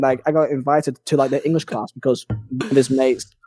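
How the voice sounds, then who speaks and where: Music can be heard behind the speaker. He is a man talking fairly quickly. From northern England (Burnley). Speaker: gaming YouTuber. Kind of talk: casual chat. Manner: fast.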